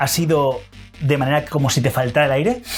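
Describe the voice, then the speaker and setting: A man's voice with music in the background. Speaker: dating and seduction coach. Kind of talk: instructional talk to camera.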